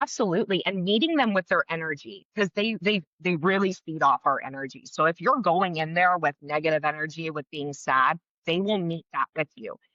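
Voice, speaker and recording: Loud, bright, sharp speech with lively intonation at a fairly quick pace, hardly any pauses, and a dry, close sound with no echo. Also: woman, fairly low pitch for a woman. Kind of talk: interview. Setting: podcast. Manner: fast.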